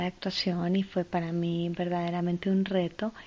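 Against a quiet background, a woman speaks fairly slowly at a fairly low pitch with a dark, mellow tone. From Colombia, Ibagué. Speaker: actress and podcast host. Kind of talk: inspirational monologue.

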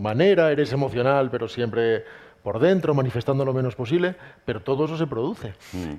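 A man at a medium pitch, an ordinary speaking voice with ordinary pitch variation. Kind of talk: live book presentation interview.

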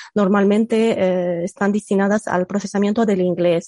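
Her tone is dark and mellow, her pitch medium for a woman. The sound is dry and close, with no echo. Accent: Egyptian. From Egypt. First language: Arabic (speaking Spanish). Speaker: computational linguist. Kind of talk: casual interview. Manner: hesitant, many fillers.

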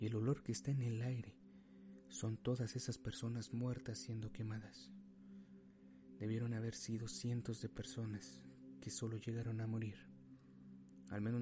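Over music in the background, a man speaks in a solemn tone at a medium pitch and moderate pace. His pitch swings very widely, and he takes long, frequent pauses. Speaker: narrator. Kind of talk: dramatic first-person storytelling narration. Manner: solemn, grave, emotional; measured, suspenseful pacing.

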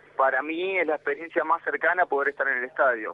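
A man with a Rioplatense accent and ordinary pitch variation. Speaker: football fan. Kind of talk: interview.

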